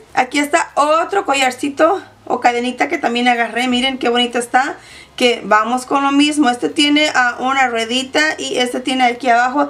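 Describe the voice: The tone is fairly bright, the pace moderate, the intonation fairly even, and pauses are few. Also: woman, high pitch for a woman.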